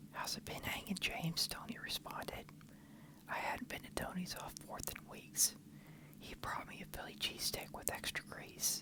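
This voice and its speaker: A man whispers at a moderate pace. Noticeable background noise runs behind him. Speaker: ASMR creator. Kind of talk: ASMR story reading, parody crime story.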